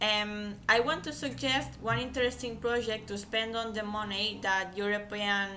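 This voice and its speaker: With audible room echo and noticeable background noise, a woman speaks at a moderate pace, her medium pitch and fairly even intonation. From Catalonia, Spain. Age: 20s. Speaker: language student. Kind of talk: class oral presentation. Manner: hesitant, self-correcting.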